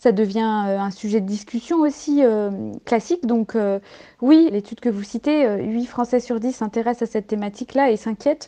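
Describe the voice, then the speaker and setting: Her voice has a dark, mellow tone and a fairly high pitch, as this woman speaks at a moderate pace. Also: ordinary pitch variation. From rural France. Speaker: environmental activist and founder. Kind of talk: radio interview. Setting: phone or remote line.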